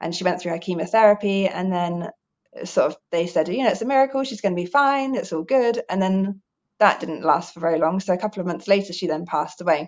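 At a very fast pace, a woman talks at a medium pitch with ordinary pitch variation. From Guernsey, Channel Islands. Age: 30s. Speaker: calisthenics coach and recovered addict. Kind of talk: interview, personal testimony.

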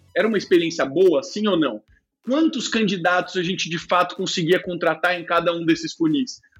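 A man with a high-pitched voice speaks at a moderate pace with ordinary pitch variation, music playing in the background. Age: 30s. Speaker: tech executive and startup founder. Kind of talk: interview.

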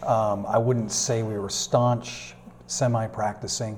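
A man's somewhat breathy, medium-pitched voice with a dark, mellow tone and monotone, flat intonation. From US New England, Manchester, New Hampshire. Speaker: pastor. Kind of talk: interview. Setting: church classroom.

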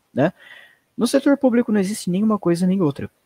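A man talks at a very fast pace in a dark, mellow tone. The sound is dry and close, with no echo. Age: 20s. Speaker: political commentator. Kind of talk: casual political discussion on a livestream. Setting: live video stream.

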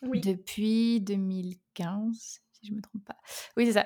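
Heard on a very clean recording with a silent background, a woman speaks at medium pitch in a dark, mellow tone. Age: 20s. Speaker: author and software engineer. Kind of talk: casual interview.

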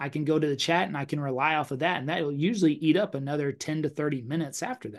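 Against a quiet background, a man with a fairly high pitch speaks at a very fast pace, with ordinary pitch variation and hardly any pauses. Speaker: real estate agent and podcast host. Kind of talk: live stream coaching session. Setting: online live stream.

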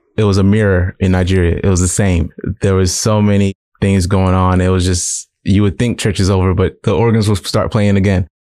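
With an American accent, a man speaks in a very deep, low pitch and a dark, mellow tone, his intonation monotone and flat, on a very clean recording with a silent background. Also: very even loudness. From US South, Columbia, South Carolina. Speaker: digital artist and martial artist. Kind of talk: casual interview.

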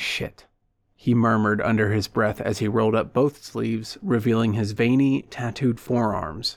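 A man with a plain, everyday voice at a medium pitch, with fairly even intonation and a moderate pace. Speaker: audiobook narrator and podcast host. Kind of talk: literary audiobook reading, narrating prose and dialogue.

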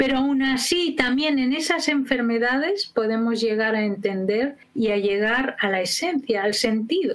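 A woman speaks at a high pitch with lively intonation and very even loudness. Her pace is fairly slow with hardly any pauses, and there is noticeable background noise. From Spain. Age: 60s. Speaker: educator and biographical work trainer. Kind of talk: interview.

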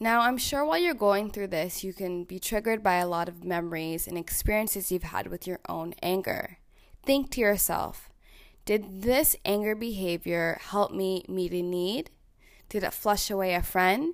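Recorded very cleanly against a silent background, a woman speaks in a normal speaking voice with a Canadian accent. Her pitch is medium with ordinary variation, and her pace is moderate. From Ontario, Canada (small town). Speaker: podcast host, social worker. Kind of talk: self-help podcast monologue.

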